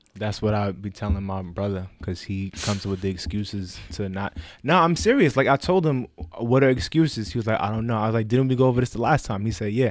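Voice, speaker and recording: Very fast and lively in intonation, a man talks in a New York accent. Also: fairly low pitch for a man, very clean recording, silent background. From Bronx, New York. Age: 20s. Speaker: project coordinator and fraternity member. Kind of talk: casual chat.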